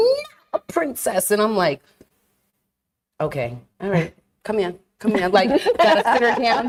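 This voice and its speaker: A woman with an animated tone, lively intonation and a moderate pace. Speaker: podcast co-host. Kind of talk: casual chat. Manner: loud.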